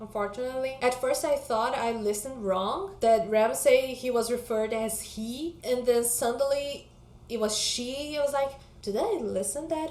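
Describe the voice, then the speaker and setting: There is audible room echo as a woman speaks at a moderate pace. Her pitch is high. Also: ordinary pitch variation. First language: not English. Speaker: book vlogger. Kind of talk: casual vlog chat.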